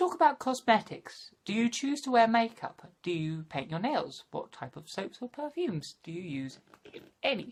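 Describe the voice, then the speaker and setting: A woman's fairly high voice at a moderate pace, with very wide pitch swings, big swings in loudness and hardly any pauses. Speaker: vlogger. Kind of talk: casual vlog tag video.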